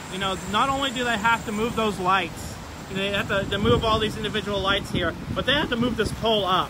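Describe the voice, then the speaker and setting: A man uses a raised, projected voice at a moderate pace with ordinary pitch variation, the sound dry with no echo and noticeable background noise behind him. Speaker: local live streamer. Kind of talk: casual live-stream commentary. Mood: excited, enthusiastic. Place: street. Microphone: phone near.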